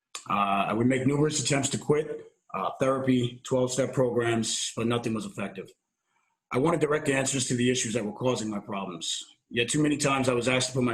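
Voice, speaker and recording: A man talks at a very fast pace in a North Jersey accent. His pitch varies in an ordinary way. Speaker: army veteran, recovery volunteer coordinator. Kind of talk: personal testimony at a presentation.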